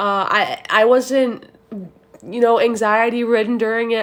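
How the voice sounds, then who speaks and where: A woman speaks at a fairly high pitch. Her intonation stays fairly even. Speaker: student. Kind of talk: class assignment monologue. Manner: fast.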